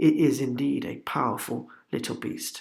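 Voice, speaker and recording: A quiet man's voice. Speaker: tech reviewer. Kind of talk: product review voiceover. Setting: home voiceover recording. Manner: hushed, quiet.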